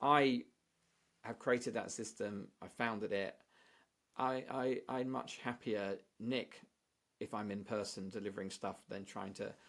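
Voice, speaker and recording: A man with a British accent speaks at a medium pitch with fairly even intonation. He leaves long, frequent pauses on a very clean recording with a silent background. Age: 60s. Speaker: statistician and author. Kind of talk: podcast interview. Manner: halting with many repeated words.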